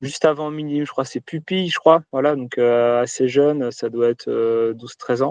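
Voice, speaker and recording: His voice sits at a medium pitch for a man, the intonation fairly even and the sound dry and close with no echo. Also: quiet background. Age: 30s. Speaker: duathlete and entrepreneur. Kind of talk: interview answers. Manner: hesitant, many fillers.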